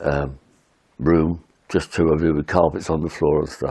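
A man with a very deep, low pitch. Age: 90s. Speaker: war veteran recounting memories. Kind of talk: oral history recollection, monologue. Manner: halting, with repetitions and fillers.

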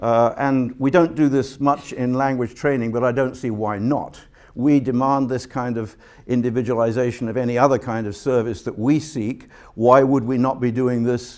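A man at a moderate pace, his intonation fairly even, against a quiet background. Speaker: guest lecturer. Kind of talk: lecture. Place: hall. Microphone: podium.

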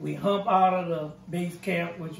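A high-pitched man with a New Orleans accent talks at a fairly slow pace, with faint music in the background and audible room echo. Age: 70s. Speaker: war veteran. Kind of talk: oral history interview answer. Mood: calm, reflective. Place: home room.

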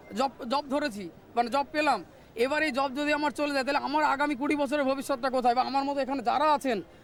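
A man's extremely high-pitched voice with very even loudness and fairly even intonation, over noticeable background noise. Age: 40s. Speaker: school teacher who lost job, protester. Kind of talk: street interview.

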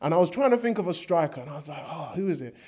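A man speaks against a quiet background. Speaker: interviewee. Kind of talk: interview answer. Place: studio. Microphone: handheld.

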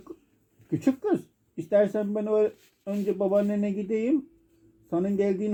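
A natural voice reading aloud, fairly even in intonation, over a quiet background.

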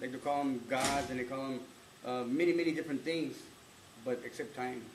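A man speaks with fairly even intonation. Room echo is audible, along with light background noise. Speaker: speaker. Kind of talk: ceremonial address to a live audience. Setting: live event with audience. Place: meeting room. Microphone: camera far.

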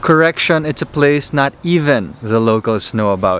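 Over light background noise, a man speaks at a fairly slow pace in a dry sound with no echo. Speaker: travel vlogger. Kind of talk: casual vlog chat. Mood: upbeat, adventurous. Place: street. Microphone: phone near.

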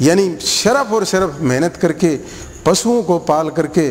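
This man's voice sits high in pitch, with ordinary variation in its melody. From Haryana, Bhiwani area village; Haryana, India. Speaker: school principal. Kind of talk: interview; interview answer. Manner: halting. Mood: calm, reflective. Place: garden.

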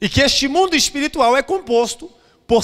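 Against a quiet background, a man with a Brazilian accent swings his pitch very widely. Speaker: pastor. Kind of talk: sermon. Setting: church. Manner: emphatic, urgent preacher in full flow, repeating phrases for effect; exhorting, direct appeals to the congregation. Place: church. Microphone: handheld.

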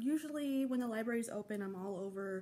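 The woman speaks at a moderate pace. Her pitch varies in an ordinary way. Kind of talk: casual vlog chat. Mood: relaxed, friendly. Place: home room. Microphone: phone near.

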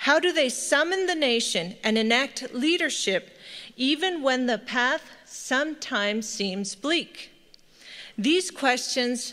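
A woman speaks at a fairly slow pace in a high pitch with very wide swings, her tone bright and sharp and her loudness very even. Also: quiet background. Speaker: professor. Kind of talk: formal welcome speech. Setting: stage with audience. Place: hall. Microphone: podium.

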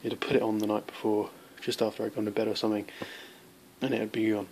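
Light background noise sits behind a man with a British accent. His pitch is fairly low. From UK. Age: young. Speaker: knife reviewer. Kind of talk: product review. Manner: halting. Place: home room. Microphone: phone near.

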